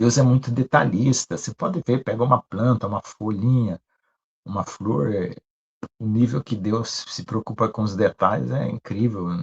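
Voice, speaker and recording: A man speaks at a moderate pace with vocal fry and ordinary pitch variation. The sound is dry and close, with no echo. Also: medium pitch for a man. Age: 60s. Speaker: pastor. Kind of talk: sermon. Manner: conversational.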